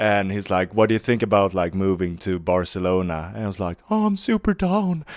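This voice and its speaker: A man with a Swedish accent talks at a fairly quick pace with hardly any pauses. The recording is very clean, with a silent background. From Sweden (Varberg). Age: 20s. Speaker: skate filmer and documentary filmmaker. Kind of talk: casual interview.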